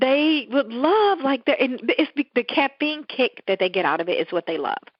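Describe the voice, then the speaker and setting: Her pitch high for a woman, she speaks at a moderate pace in an animated tone with very wide pitch swings. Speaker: podcast co-host. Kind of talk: casual chat.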